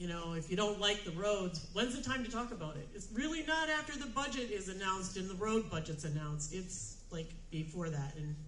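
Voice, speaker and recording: Talking at a very fast pace, a woman's pitch swings very widely. Noticeable background noise and audible room echo fill the recording. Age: 50s. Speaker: nonprofit executive director. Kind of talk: event speech.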